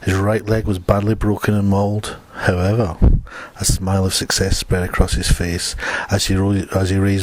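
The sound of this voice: With fairly even intonation, the reading voice stays unforced.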